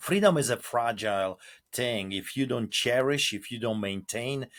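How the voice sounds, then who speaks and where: A man with a Polish accent speaks with ordinary pitch variation. The recording is very clean with a silent background and a dry, close sound with no echo. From Poland. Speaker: pastor. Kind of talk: interview. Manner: animated.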